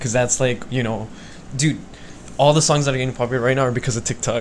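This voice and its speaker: Speaking quietly, a man holds a medium pitch with fairly even intonation. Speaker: podcast host. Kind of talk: casual chat. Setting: recording with mics. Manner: quiet, has to speak up.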